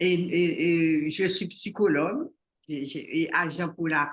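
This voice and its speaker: Her pitch sits fairly low. The speaker is a woman. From Haiti, Port-au-Prince. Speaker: psychologist. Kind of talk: interview. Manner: halting, with repetitions.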